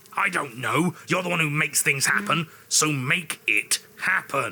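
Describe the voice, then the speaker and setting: Pitched fairly high, a man performs a put-on character voice. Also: moderate pace. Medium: solo performance. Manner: forceful, clipped, commanding.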